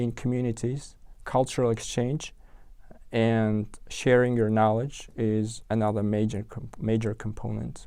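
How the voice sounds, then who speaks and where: Speaking with an Uzbek accent, a man has a dark, mellow tone, medium pitch, fairly even intonation and a moderate pace. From Uzbekistan, Tashkent. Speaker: software engineer. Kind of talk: interview. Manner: halting, many fillers and restarts.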